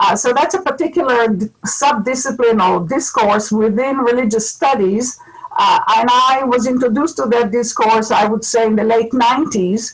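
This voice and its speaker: A woman with an Israeli accent, high-pitched, with ordinary pitch variation, very even loudness, hardly any pauses and noticeable background noise. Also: moderate pace. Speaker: scholar of religion and ecology. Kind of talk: webinar panel talk.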